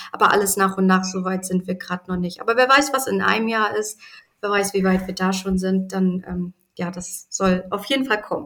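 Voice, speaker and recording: Speaking at a moderate pace, a woman with an unremarkable speaking voice keeps a medium pitch and fairly even intonation. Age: 30s. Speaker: animal sanctuary founder. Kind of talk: interview.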